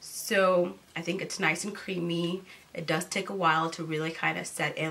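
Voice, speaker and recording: Noticeable background noise sits behind a woman whose voice has a fairly low pitch. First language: not English. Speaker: beauty YouTuber. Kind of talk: product review vlog. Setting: seated in front of camera. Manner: casual, hesitant with fillers.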